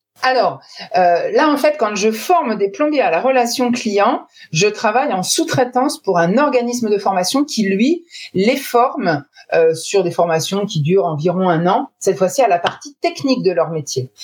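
A woman talks at a fairly slow pace with a fairly high pitch. Her pitch swings very widely while her loudness stays very even. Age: 40s. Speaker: sales trainer. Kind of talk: interview.

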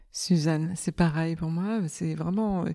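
Her intonation stays fairly even as this woman speaks at a fairly low pitch. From Germany. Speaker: amateur recorder player. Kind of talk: group discussion. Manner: halting.

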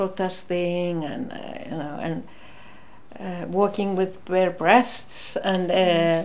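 Over noticeable background noise and audible room echo, a woman with an Icelandic accent speaks at medium pitch. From northern Iceland, Akureyri. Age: 60s. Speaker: retired nurse, former activist. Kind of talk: interview. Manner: halting.

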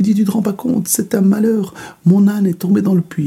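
A man's vocal fry at a fairly quick pace. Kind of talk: bedtime story telling, a folktale told aloud. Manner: dwells on the donkey's comic flaws with playful, wry emphasis.

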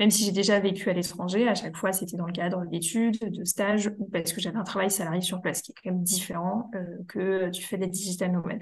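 Very fast and nearly pause-free, the somewhat breathy voice runs in a flat monotone. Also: woman, medium pitch for a woman. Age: 20s. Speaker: content creator and freelance social media manager. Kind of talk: casual interview.

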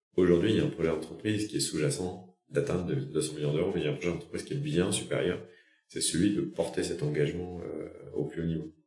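A man's very deep, low pitch at a very fast pace, dark and mellow in tone and somewhat breathy, with audible room echo. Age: 40s. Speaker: company founder and CEO. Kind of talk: interview.

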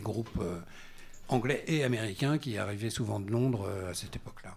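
Audible room echo surrounds a man's fairly low, somewhat breathy voice. He talks at a fairly quick pace with ordinary pitch variation. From Normandy, France. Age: 60s. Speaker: singer-songwriter. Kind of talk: casual chat. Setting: stage with audience.

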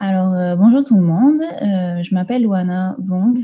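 Speaking at a fairly slow pace, a woman uses a medium pitch with ordinary pitch variation.

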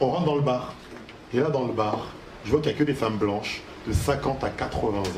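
A man speaks at a fairly quick pace and a medium pitch with ordinary pitch variation, breaking often into long pauses over noticeable background noise. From Paris suburbs, France (Haitian family). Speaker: comedian. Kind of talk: stand-up; radio interview. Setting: stage with audience; studio.

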